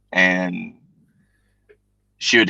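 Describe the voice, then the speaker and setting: A man with a Southern US accent speaks very slowly in a very deep, low voice, with a dry, close sound and no echo. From US South. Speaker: livestream guest, works in protection. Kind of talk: casual chat. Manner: halting, repeats words.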